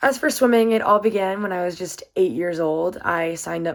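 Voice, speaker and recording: A woman speaks at a fairly quick pace with an American accent. She has an ordinary speaking voice, a fairly low pitch and ordinary pitch variation. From US South, Virginia (Waynesboro). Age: 20s. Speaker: college student and swimmer. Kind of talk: self-introduction presentation. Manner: casual, upbeat.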